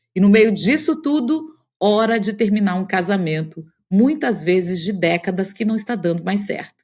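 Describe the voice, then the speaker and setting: Somewhat breathy and at a fairly slow pace, a woman of medium pitch speaks with lively intonation. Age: 50s. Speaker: podcast host, journalist. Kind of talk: scripted podcast intro.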